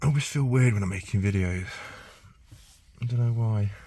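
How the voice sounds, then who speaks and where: A man speaks at a medium pitch and a moderate pace. His tone is dark and mellow, somewhat breathy. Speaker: mobile car diagnostics technician. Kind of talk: casual work vlog. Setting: inside a car at a dealership. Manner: thinking aloud, hesitant; quiet.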